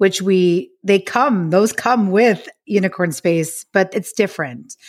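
An unremarkable speaking voice from a woman with an American accent, medium in pitch with ordinary pitch variation, at a fairly slow pace on a very clean recording with a silent background. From US, New York City. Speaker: author. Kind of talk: interview.

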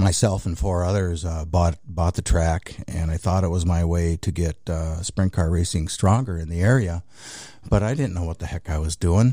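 Speaking with an American accent, the man has a very deep, low pitch, a dark, mellow tone, some breathiness, a moderate pace and ordinary pitch variation. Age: 60s. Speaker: racing series owner. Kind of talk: interview. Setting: studio.

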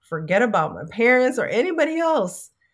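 Speaking at a moderate pace with an American accent, a woman makes very wide pitch swings. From New York City (South Bronx). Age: 50s. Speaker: actress and author. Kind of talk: interview.

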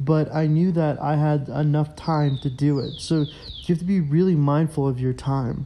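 With a plain, everyday voice and an American accent, a man speaks at a moderate pace in a fairly high pitch, using fairly even intonation and hardly any pauses. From United States. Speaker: podcaster. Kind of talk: solo monologue. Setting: outdoors. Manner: casual, with fillers.

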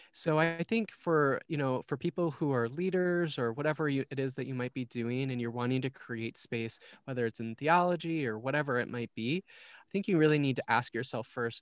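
Here a man with an Upper Midwest accent talks at a moderate pace with hardly any pauses, his medium-pitched voice showing ordinary pitch variation. The sound is dry and close with no echo, over a quiet background. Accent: Upper Midwest American. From Minnesota. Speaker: church community organizer. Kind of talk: casual interview.

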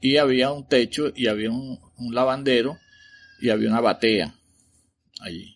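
Using long, frequent pauses, a man with a Venezuelan accent speaks at a medium pitch with ordinary pitch variation. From Venezuela, Caracas. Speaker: listener's father sharing a paranormal story. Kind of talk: recorded personal storytelling.

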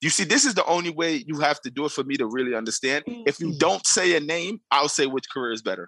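Lively intonation and a bright, sharp tone from a man at a fairly quick pace. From US Northeast (New York). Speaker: podcast panelist. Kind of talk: casual chat.

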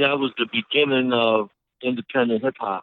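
Fairly even intonation and a moderate pace mark this voice in a New York accent. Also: man. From Brooklyn, New York (Brownsville); Puerto Rican. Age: 50s. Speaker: rapper. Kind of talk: interview. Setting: phone call.

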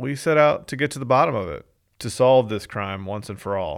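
At a moderate pace, a man uses a normal speaking voice at medium pitch with ordinary pitch variation, on a very clean recording with a silent background. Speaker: podcast host and narrator. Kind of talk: true-crime narration, with a casual intro and outro. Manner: measured, storytelling, conversational.

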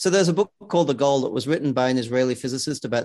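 At a very fast pace, a man with an Australian accent speaks at medium pitch with ordinary pitch variation. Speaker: sales consultancy founder and author. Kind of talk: casual interview.

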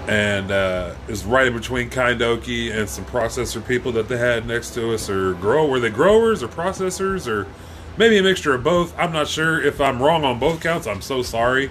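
With music in the background, a man of medium pitch talks at a moderate pace in an animated tone with lively intonation. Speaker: podcast co-host. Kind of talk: casual chat. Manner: loud.

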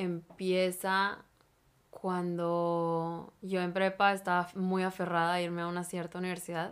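The speaker goes at a fairly slow pace with a monotone, flat intonation. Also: woman, fairly low pitch for a woman. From Mexico-Texas border (Piedras Negras / Eagle Pass). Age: 20s. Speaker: social work student. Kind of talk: casual interview.

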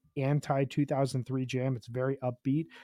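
This man has a normal speaking voice, fairly high in pitch, with an American accent. He talks at a moderate pace, and the sound is dry and close with no echo. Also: very clean recording, silent background. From Chicago, US Midwest. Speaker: podcast guest, music fan. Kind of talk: casual chat.

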